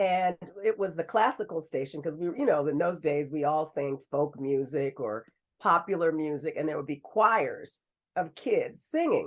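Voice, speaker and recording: Speaking slowly with lively intonation, a woman with an American accent has an unremarkable speaking voice at a fairly low pitch. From US West Coast, Bay Area. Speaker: radio host. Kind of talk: interview.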